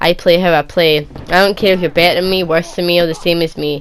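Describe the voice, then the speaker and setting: Speaking in a Scottish accent, a woman has a fairly low pitch. She talks at a fairly quick pace with monotone, flat intonation. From Scotland, Edinburgh. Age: 20s. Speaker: gaming youtuber. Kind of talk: Q&A video answering viewer questions. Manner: casual, rambling with repetitions.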